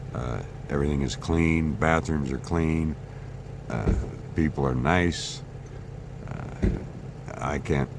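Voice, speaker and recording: Speech comes at a very slow pace. The room echo is audible, and background noise is noticeable. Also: man. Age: 60s. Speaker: travel vlogger. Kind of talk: travel vlog narration. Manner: casual, with frequent fillers.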